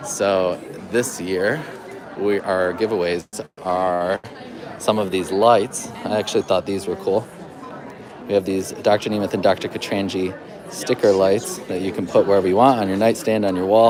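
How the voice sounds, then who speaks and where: At a moderate pace and a fairly low pitch, a man talks with fairly even intonation and long, frequent pauses, amid audible room echo and crowd noise in the background. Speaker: event host filming a walkthrough. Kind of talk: live event walkthrough. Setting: seminar venue entry room. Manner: lowered voice.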